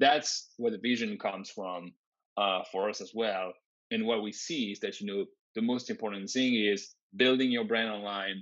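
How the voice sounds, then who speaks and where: This man speaks with a French accent. His pitch is fairly low. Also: fairly even intonation, moderate pace. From France. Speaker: tech company founder and CEO. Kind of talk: interview.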